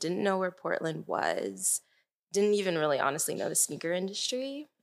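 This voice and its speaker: A woman with an American accent is heard in a very clean recording against a silent background. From Maryland. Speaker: designer. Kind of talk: casual chat.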